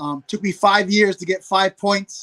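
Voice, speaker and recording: A man speaks at a moderate pace with a New York accent. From New York City. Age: 40s. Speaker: hunter and former pro football player. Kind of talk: casual podcast interview. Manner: repetitive stammering.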